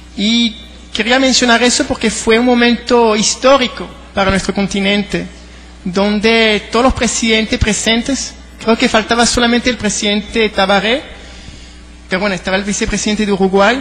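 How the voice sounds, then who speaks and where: A high-pitched male voice at a moderate pace, with fairly even intonation over noticeable background noise. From France and Venezuela. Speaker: government advisor, panelist. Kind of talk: panel talk.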